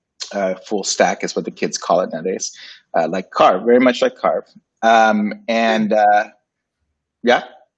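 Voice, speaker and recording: A man speaks with a Spanish accent at a fairly slow pace. He leaves long, frequent pauses. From Puerto Rico / Dominican Republic. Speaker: graphic designer and agency founder. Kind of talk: casual interview. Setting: livestream.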